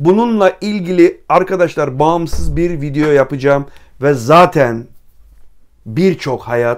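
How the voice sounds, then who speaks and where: A man speaks very slowly, with lively intonation. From Trabzon, Turkey. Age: 50s. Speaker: writer and travel YouTuber. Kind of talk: Q&A monologue to viewers. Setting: library.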